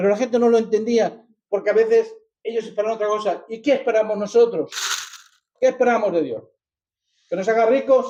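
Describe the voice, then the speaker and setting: A man with a high pitch and a dark, mellow tone speaks at a fairly quick pace with fairly even intonation. He leaves long, frequent pauses. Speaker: preacher. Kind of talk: sermon.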